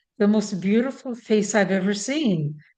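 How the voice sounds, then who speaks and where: With a dark, mellow tone, a woman speaks at a medium pitch and a fairly slow pace, her intonation lively. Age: 70s. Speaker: meditation practitioner sharing memories. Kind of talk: interview testimony. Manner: halting, many fillers.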